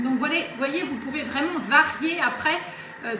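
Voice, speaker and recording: A woman's voice amid noticeable background noise and audible room echo. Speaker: Thermomix demonstrator. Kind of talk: live cooking demonstration. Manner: fast.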